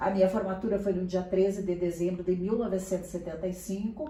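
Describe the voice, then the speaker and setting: Audible room echo surrounds a voice that moves at a fairly quick pace with fairly even intonation. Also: woman. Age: 60s. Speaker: journalist and university lecturer. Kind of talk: interview.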